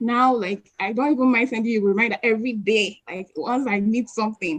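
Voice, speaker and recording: A woman's animated, somewhat breathy voice at a fairly quick pace, dry and close with no echo. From Nigeria. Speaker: lecturer and PhD researcher. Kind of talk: webinar Q&A talk. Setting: online live stream.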